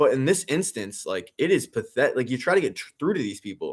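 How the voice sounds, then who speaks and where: An animated voice with an American accent moves at a fairly quick pace. The recording is very clean, with a silent background. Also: man. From Philadelphia, US. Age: 30s. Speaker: sports radio host streaming a game watch-along. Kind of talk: live stream watch-along, casual chat reading comments. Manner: animated, heated ranting.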